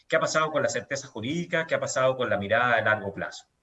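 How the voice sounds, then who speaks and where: A man is speaking. His pitch swings very widely. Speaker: event host, transparency NGO director. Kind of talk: formal event introduction. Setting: online panel event.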